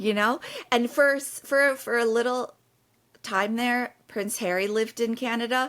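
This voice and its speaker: Fairly even intonation at a fairly slow pace. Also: woman, high pitch for a woman. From Jordan. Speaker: comedian. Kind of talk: casual podcast conversation.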